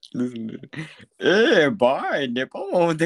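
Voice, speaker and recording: A man puts on a character voice pitched high. His pitch swings very widely. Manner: mocking.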